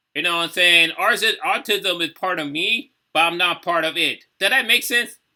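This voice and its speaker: Here a man with an American accent speaks in a high pitch with a bright, sharp tone. His pitch variation is ordinary and his pace moderate. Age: 30s. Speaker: YouTube reaction creator. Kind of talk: casual reaction commentary. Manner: halting, many fillers.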